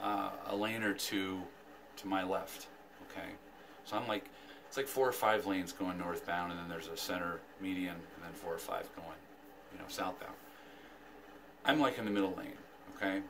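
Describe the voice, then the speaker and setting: Through noticeable background noise, a man speaks with ordinary pitch variation, long, frequent pauses and big swings in loudness. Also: fairly low pitch for a man, moderate pace. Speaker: vlogger. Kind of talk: casual vlog chat. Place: home room. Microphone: phone near.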